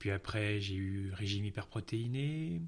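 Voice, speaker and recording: A man speaks at a fairly slow pace in a somewhat breathy voice, on a very clean recording with a silent background. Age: 30s. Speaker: interview guest sharing his weight and eating disorder story. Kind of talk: personal testimony in interview.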